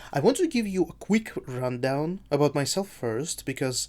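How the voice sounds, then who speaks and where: The speaker talks at a moderate pace. There is a non-native accent. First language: not English. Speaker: gaming youtuber and streamer. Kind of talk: casual video review monologue. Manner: halting.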